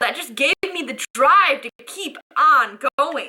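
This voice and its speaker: In a raised, projected voice with a bright, sharp tone, a woman makes very wide pitch swings, and the sound is dry and close with no echo. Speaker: spoken word poet. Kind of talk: spoken word poetry performance.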